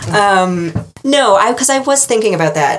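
A woman with an American accent speaks with ordinary pitch variation over noticeable background noise. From New England, US. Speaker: podcast host. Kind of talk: casual chat.

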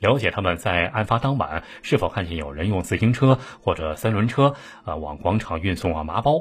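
A man speaks at a fairly quick pace, somewhat breathy, with lively intonation. The recording is very clean, with a silent background. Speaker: true-crime storyteller. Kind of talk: true-crime narration. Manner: animated storyteller, voicing quoted characters with urgency and alarm.

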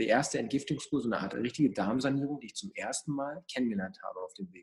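A man speaks very fast at a medium pitch, with hardly any pauses. His loudness swings widely. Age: 20s. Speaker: mental coach. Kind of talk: casual interview. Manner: animated.

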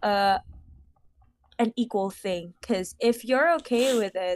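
Speech in a Filipino accent comes at a fairly slow pace. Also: woman, dry, close sound with no echo. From Philippines. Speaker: podcast co-host. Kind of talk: casual chat.

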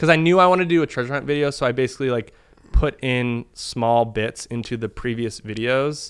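With an American accent, a man speaks in an ordinary speaking voice at a fairly quick pace, medium pitch and ordinary pitch variation. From US Northeast, Boston. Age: 20s. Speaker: internet video artist. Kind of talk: casual chat.

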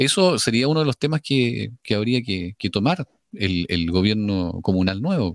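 At a fairly slow pace, a man with a fairly low pitch and a normal speaking voice talks with lively intonation, the sound dry and close with no echo. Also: very clean recording, silent background. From Chile, Biobío region. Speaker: radio host. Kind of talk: radio interview. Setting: virtual radio studio.

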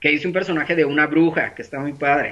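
A man speaks with a bright, sharp tone. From Mexico, Sinaloa. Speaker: entertainer and online show host. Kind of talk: casual interview.

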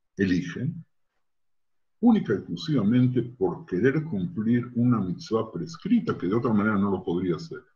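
Somewhat breathy and dark, mellow in tone, this man's voice moves through very wide pitch swings. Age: old. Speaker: rabbi. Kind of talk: interview testimony. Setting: video call.

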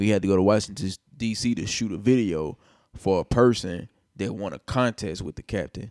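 A man speaks with a Nashville accent at a moderate pace, with ordinary pitch variation. The sound is dry and close with no echo, in a very clean recording with a silent background. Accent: Southern US, Nashville. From US South, Nashville, Tennessee. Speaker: rapper and music producer. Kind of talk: casual chat.

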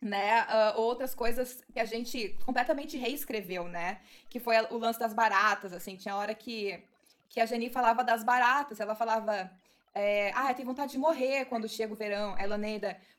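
It is a plain, everyday voice. The pace is moderate. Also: woman, fairly high pitch for a woman, ordinary pitch variation. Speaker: actress and podcast producer. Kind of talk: casual chat.

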